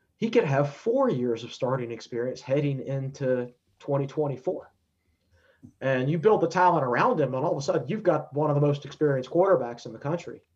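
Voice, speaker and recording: Speaking at a fairly quick pace, a man uses a fairly high, somewhat breathy voice with ordinary pitch variation. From Virginia, Danville. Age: 30s. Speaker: sports writer and analyst. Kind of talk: podcast interview.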